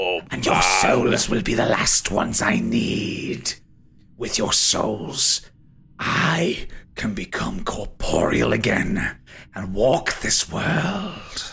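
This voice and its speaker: In a raspy, put-on character voice, a man speaks at a very slow pace. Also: medium pitch for a man. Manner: taunting, silky, menacing; condescending, impatient.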